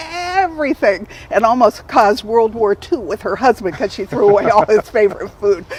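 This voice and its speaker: In an American accent, a woman speaks at a fairly high pitch with lively intonation. Noticeable background noise runs behind her. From Southern California. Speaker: health coach and author. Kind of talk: talk to a community group. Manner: energetic.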